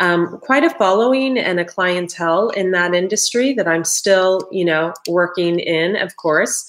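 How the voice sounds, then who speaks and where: A woman with an American accent speaks at a fairly slow pace in a medium pitch, with ordinary pitch variation and hardly any pauses. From US Midwest, Ohio. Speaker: tarot reader and detox coach. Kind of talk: live-streamed tarot reading. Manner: casual, chatty.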